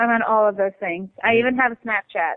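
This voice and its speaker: A woman's fairly high voice, an unremarkable speaking voice, with fairly even intonation. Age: 20s. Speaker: country singer and ER nurse. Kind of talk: casual interview. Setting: phone call. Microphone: cell phone line.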